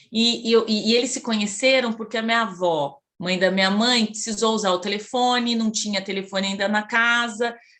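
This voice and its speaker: A woman talks with hardly any pauses. Her fairly high voice has a bright, sharp tone. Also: fairly even intonation, moderate pace. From Brazil, Campinas (São Paulo state). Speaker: psychologist, Jungian analyst. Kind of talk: interview, personal life story. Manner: hesitant, many fillers.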